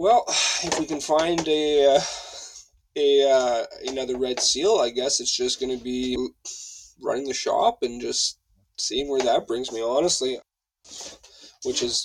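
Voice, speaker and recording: A man at a moderate pace, with long, frequent pauses and music in the background. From French Canada. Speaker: automotive technician at a tire shop. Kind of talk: casual interview chat.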